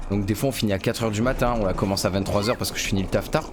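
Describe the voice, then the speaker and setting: Someone talks at a very fast pace with ordinary pitch variation. Music plays in the background. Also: man. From southwest France. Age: 20s. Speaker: gaming YouTuber. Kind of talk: casual let's play commentary.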